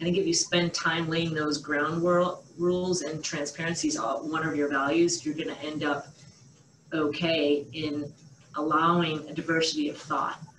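Over light background noise and audible room echo, a woman with an American accent speaks in a very deep, low pitch with monotone, flat intonation. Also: moderate pace. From Boston area, USA. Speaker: surgeon; interviewee. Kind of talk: interview answer. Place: home room. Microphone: webcam.

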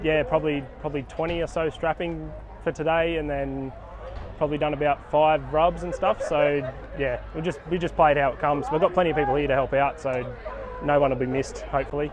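A man talks at a fairly quick pace over noticeable background noise, his voice dry with no echo. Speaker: sports trainer at an event. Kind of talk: interview answer. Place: open country. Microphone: phone near.

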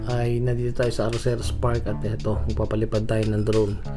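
Clear music can be heard behind the speech. The man talks at a moderate pace. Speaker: channel host. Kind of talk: casual vlog commentary. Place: waterside.

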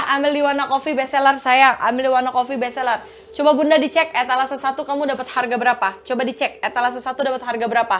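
Over light background noise, a woman with a warm tone speaks very fast at a high pitch, her intonation fairly even. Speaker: online bag seller. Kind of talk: live-stream sales pitch. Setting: online live stream selling bags. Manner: warm and flirty, calls viewers 'sayang' and 'kakak'. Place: shop. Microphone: lapel.

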